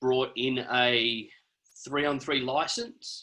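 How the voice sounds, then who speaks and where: A man with a medium-pitched, bright and sharp voice speaks very slowly in an Australian accent. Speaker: basketball referee. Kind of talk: video call discussion.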